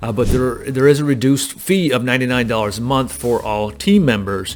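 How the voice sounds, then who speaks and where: Ordinary pitch variation marks a man's speech, set against noticeable background noise. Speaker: real estate agent and recruiter. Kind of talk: tutorial. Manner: fast; casual, many fillers.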